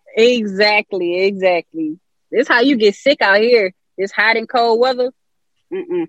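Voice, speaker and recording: A woman with an American accent speaks in a plain, everyday voice at a fairly high pitch. Her pace is fairly slow and her intonation lively. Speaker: musician. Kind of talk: casual interview.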